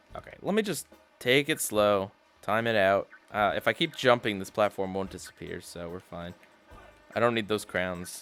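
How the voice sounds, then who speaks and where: Music plays behind a man's voice. His pitch moves in an ordinary way. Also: moderate pace. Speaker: gaming YouTuber. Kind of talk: let's play commentary. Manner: animated; halting, repeats words.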